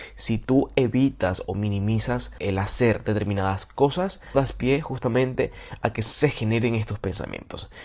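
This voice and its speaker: A somewhat breathy man is heard on a very clean recording with a silent background. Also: medium pitch for a man, ordinary pitch variation, fairly slow pace. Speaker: podcast host. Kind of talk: solo monologue on self-improvement.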